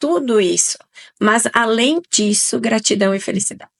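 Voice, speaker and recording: A woman with vocal fry and lively intonation talks at a fairly slow pace in a dry, close sound with no echo. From southern Brazil, Italian-descended region. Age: 40s. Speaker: nutrition guest expert. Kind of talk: podcast interview.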